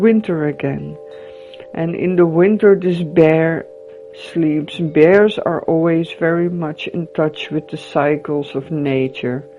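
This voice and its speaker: A woman speaks at a very slow pace with a calm, gentle tone and a fairly low pitch. Her intonation stays fairly even while music plays in the background. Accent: non-native. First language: not English. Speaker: tarot reader. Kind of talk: guided visualization tarot reading.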